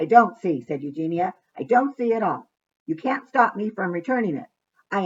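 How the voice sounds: A natural reading voice with lively intonation is heard over a quiet background.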